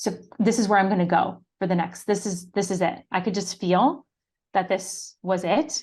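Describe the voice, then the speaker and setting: In an American accent, a woman with an ordinary speaking voice talks at a fairly slow pace, her medium pitch moving with ordinary variation over a quiet background. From upstate New York, Syracuse. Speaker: business coach, former actor. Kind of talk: interview.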